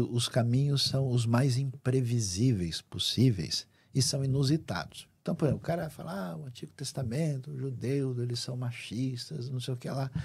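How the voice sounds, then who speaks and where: A man talks at a moderate pace in a somewhat breathy voice, with ordinary pitch variation and big swings in loudness. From Brazil. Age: 60s. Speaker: Bible scholar and preacher; preacher. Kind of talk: interview. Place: studio. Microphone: studio mic.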